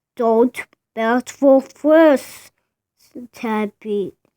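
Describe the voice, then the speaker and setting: A woman uses a put-on character voice with a high pitch on a very clean recording with a silent background. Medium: read story. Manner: gentle, patient.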